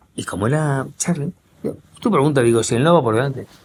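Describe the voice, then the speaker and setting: A man speaks at a very fast pace with an animated tone and lively intonation. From Spain, Madrid. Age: 60s. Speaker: war correspondent journalist. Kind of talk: interview conversation.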